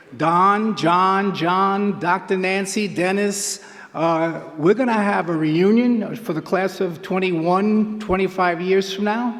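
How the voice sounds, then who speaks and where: The speaker has a New York accent and a very slow pace with hardly any pauses. Intonation stays fairly even over noticeable background noise. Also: man, high pitch for a man. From Queens, New York. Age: 70s. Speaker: track coach. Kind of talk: acceptance speech.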